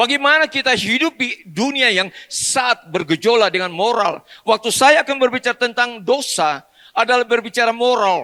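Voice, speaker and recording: A man speaks at extremely high pitch in a raised, projected voice with a bright, sharp tone and lively intonation, keeping a moderate pace with hardly any pauses in a dry, close recording with no echo. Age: 70s. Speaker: pastor. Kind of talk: sermon. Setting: church.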